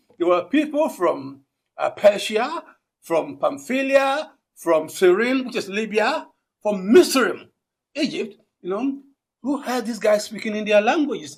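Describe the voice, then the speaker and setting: A man with an African accent talks at a fairly slow pace in an extremely high pitch, his voice swinging very widely, with long, frequent pauses. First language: Akan. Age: 60s. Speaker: linguistics professor. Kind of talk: conference keynote address. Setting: conference with audience.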